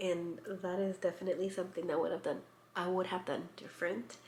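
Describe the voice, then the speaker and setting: A woman's medium-pitched voice amid noticeable background noise and audible room echo. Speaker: lifestyle vlogger. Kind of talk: casual vlog talk. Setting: at home. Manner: soft-spoken.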